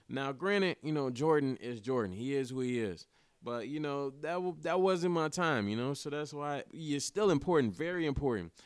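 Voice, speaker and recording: In a very clean recording with a silent background, a man talks at a fairly quick pace and fairly high pitch with lively intonation. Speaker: podcast host. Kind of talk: casual monologue. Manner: animated.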